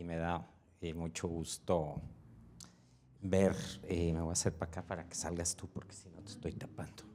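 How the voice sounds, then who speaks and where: Long, frequent pauses, big swings in loudness and a dark, mellow tone. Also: man. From Mexico, Veracruz (Xalapa). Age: 60s. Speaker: audience member, designer. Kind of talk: audience question. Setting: live event with audience, microphone passed.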